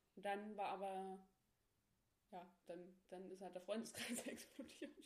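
Audible room echo surrounds this recording of a woman. She talks at a medium pitch with ordinary pitch variation. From Thuringia, Germany (Ilmenau). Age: 20s. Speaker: podcast guest, host's best friend. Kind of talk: casual chat. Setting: friend's attic apartment.

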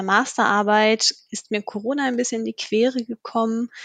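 In an unremarkable speaking voice, a woman talks at a fairly slow pace and fairly high pitch with fairly even intonation, the sound dry and close with no echo. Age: 20s. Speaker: HR staff for interns. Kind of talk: podcast interview.

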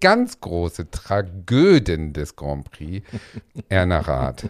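On a very clean recording with total silence behind him, a man talks in a very deep, low register. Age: 40s. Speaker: podcast co-host. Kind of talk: casual chat. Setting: dressing room full of costumes.

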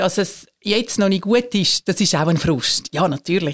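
A woman speaks at a fairly slow pace in a somewhat breathy, medium-pitched voice with ordinary pitch variation and a dry, close sound with no echo. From Switzerland, Zurich area. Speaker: church executive council president. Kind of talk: casual interview.

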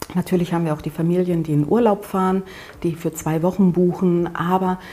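A woman speaks in a fairly low voice with fairly even intonation. Background noise is noticeable. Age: 50s. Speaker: cat-sitting agency owner. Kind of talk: interview.

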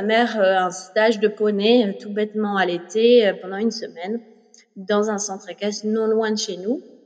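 Over noticeable background noise, a woman talks at a fairly slow pace with a fairly high pitch and fairly even intonation. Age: 30s. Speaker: yoga teacher and former professional horse rider. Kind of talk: interview.

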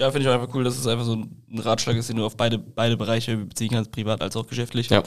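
At a medium pitch, a man rattles along at a very fast pace with hardly any pauses and monotone, flat intonation. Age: 20s. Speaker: podcast co-host. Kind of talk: casual interview. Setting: studio.

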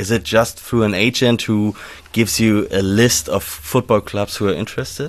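A man speaks with a German accent at a moderate pace. His voice is fairly low, with ordinary pitch variation. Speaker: podcast co-host. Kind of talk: interview. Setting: recorded in a fan shop.

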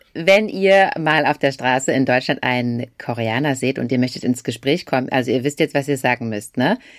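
A woman with a very deep, low pitch, speaking at a moderate pace with hardly any pauses, in a very clean recording with a silent background. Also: ordinary pitch variation. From Germany. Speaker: podcast host. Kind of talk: language tutorial.

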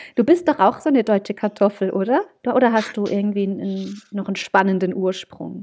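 With a medium pitch, a woman talks at a moderate speed. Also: ordinary pitch variation. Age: 30s. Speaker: wedding celebrant, former advertising professional. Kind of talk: casual chat. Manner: animated.

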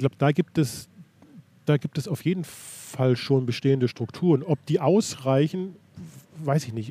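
The sound is dry and close with no echo as a man with a fairly high pitch speaks in a dark, mellow, somewhat breathy tone with ordinary pitch variation. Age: 60s. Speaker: equestrian federation president. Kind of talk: interview. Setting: in-person meeting. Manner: halting, frequent repetitions.

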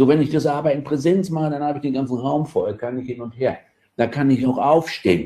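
A man's somewhat breathy voice has a dark, mellow tone. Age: 50s. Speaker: adult education lecturer. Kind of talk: casual interview.

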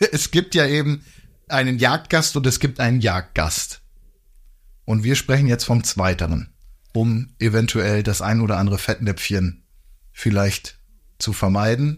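A man talks at a fairly slow pace with lively intonation and long, frequent pauses. His somewhat breathy voice keeps a very even loudness. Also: medium pitch for a man, very clean recording, silent background. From northern Germany. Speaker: hunting podcast co-host. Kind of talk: casual chat.

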